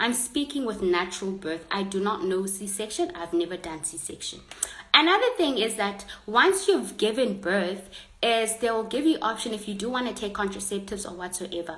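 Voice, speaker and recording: With lively intonation and a medium pitch, a woman speaks at a moderate pace amid audible room echo. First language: a South African Bantu language. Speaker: online content creator. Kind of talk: casual livestream chat. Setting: Instagram live stream. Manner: halting.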